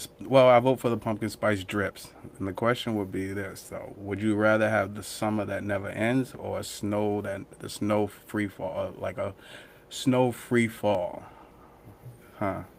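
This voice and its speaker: A man with a Boston accent and monotone, flat intonation. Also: fairly low pitch for a man, fairly slow pace. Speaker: podcast co-host. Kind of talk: casual chat.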